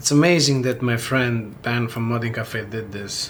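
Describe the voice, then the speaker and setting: The pace of this man's talking is moderate. Behind him, there is noticeable background noise. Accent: Italian. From Italy. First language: Italian. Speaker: PC builder and YouTuber. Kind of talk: casual talk during a hardware build video. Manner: halting, with many fillers and repetitions.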